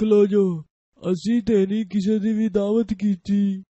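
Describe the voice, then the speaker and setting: A man's cartoonish character voice, high-pitched and monotone, at a fairly slow pace. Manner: doubtful, questioning.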